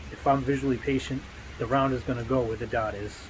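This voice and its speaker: Speaking at a moderate pace, a man talks with a New England accent. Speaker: competitive pistol shooter vlogger. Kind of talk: casual vlog monologue. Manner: casual, halting with many fillers.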